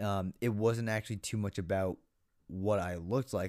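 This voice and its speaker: This man has a plain, everyday voice with a fairly low pitch and an American accent. His pitch varies an ordinary amount, and the recording is very clean with a silent background. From Massachusetts, US. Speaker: podcast co-host. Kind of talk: casual chat.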